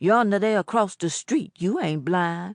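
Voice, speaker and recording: Using a put-on character voice, a woman talks at a moderate pace and medium pitch with lively intonation. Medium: read story. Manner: folksy and casually menacing.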